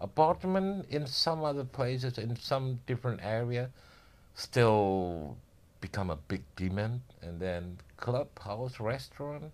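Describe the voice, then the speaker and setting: Speaking at a very slow pace, a man uses a medium pitch with very wide pitch swings. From Indonesia, Java. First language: Indonesian. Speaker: building contractor. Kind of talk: casual interview.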